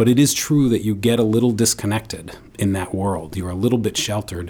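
A man with a normal speaking voice talks at a fairly quick pace using fairly even intonation. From New York City. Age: 40s. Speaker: nonprofit CEO and former state senator. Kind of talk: radio interview. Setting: studio.

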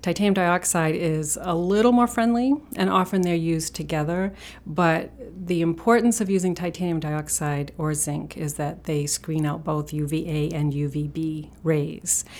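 A woman talks at a moderate pace in a normal speaking voice. Her pitch sits fairly low, with ordinary variation. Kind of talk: interview about health.

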